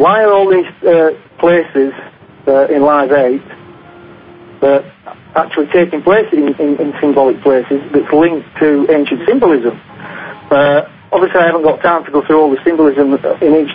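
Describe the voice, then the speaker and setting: Against noticeable background noise, a man with a Northern English accent and a fairly high pitch speaks at a very even loudness with long, frequent pauses. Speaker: author and conspiracy researcher. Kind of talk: radio interview answer. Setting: phone line. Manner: hesitant, many fillers.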